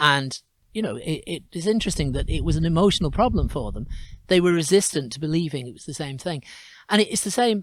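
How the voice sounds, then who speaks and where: Talking at a very fast pace, a man with a fairly high pitch uses lively intonation and big swings in loudness. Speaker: blind goat-herder and storyteller/singer. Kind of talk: casual interview answer, conversational talk.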